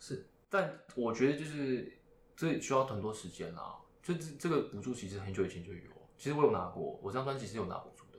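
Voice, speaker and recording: A man talks very fast at a medium pitch, his voice somewhat breathy. His pitch swings very widely, his loudness rises and falls sharply, and room echo can be heard. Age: 20s. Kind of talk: casual chat. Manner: halting, many fillers.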